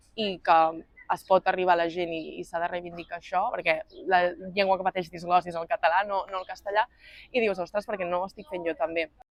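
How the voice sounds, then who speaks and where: Here a woman speaks at a very fast pace. Her pitch is fairly low. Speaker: slam poet. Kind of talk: interview answer.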